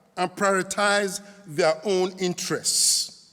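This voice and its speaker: A man speaks at a very slow pace. His voice is raised and projected. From Nigeria, Edo. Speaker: pastor. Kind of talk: conference talk.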